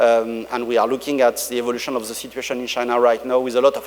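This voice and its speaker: A man talks at a very fast pace. Noticeable background noise runs behind him. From France. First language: French. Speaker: tech company executive. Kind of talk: conference keynote. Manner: halting, many fillers.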